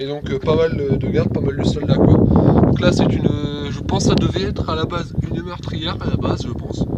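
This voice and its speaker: A man talks at a fairly quick pace with hardly any pauses. Audible room echo and noticeable background noise fill the recording. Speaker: amateur video host touring a castle. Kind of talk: casual tour commentary. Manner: hesitant.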